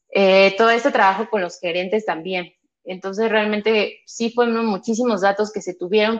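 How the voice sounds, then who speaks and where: In a Mexico City accent, a woman talks at a moderate pace and a medium pitch. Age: 30s. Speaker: psychologist working in human resources. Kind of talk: interview.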